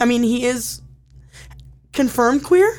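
A woman speaks with an American accent at a high pitch. Her pitch swings very widely. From Indiana (Elkhart). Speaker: entertainment reporter and podcast host. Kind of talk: casual chat. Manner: animated.

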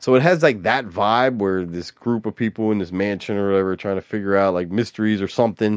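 A man talks at a fairly quick pace with a fairly low pitch. It is a normal speaking voice. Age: 40s. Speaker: podcast co-host. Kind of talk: casual chat. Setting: live stream.

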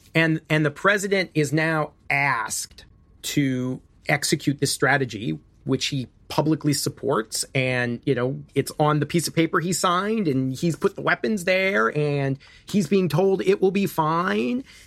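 This is a normal speaking voice with an American accent. The pitch varies in an ordinary way. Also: man, fairly high pitch for a man. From US Midwest. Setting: remote interview from California.

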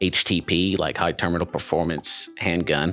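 At a moderate pace, a man with a very deep, low pitch speaks in a monotone, flat way. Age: 30s. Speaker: ballistics engineer. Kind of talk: casual interview.

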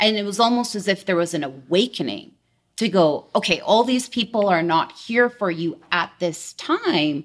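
A woman with a Canadian accent and an ordinary speaking voice talks at a moderate pace, medium in pitch with lively intonation. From British Columbia, Canada (Delta, near Vancouver). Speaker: insurance sales agent. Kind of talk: interview.

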